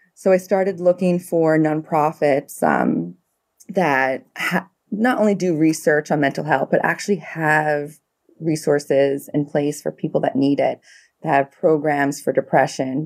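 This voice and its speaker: This woman has a New York accent and a very deep, low pitch, speaking at a fairly slow pace. Her loudness stays very even, pitch varies in an ordinary way, and the recording is very clean with a silent background. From New York City, the Bronx. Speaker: pediatric ICU nurse practitioner. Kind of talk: casual interview chat.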